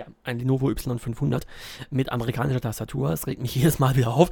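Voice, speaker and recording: Speaking at a fairly quick pace, a man uses a medium pitch and a dark, mellow tone with ordinary pitch variation. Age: 20s. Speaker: podcaster and university student. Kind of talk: casual solo podcast monologue. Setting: recording at a desk at home. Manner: hesitant, many filler sounds.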